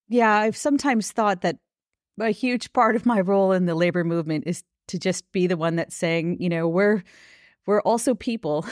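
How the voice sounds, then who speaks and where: With a normal speaking voice, a woman with an American accent talks at a fairly quick pace and medium pitch, using ordinary pitch variation, in a dry, close recording with no echo and a silent background. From US Midwest, Minnesota. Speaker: labor union organizer. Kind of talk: interview.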